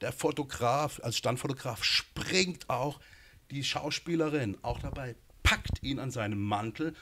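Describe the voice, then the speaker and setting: Over light background noise, a man speaks very slowly in a bright, sharp tone with ordinary pitch variation. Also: medium pitch for a man. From Baden, southwest Germany (Gernsbach); Baden, Germany. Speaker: film director and screenwriter; interview guest. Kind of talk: interview. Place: studio. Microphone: handheld.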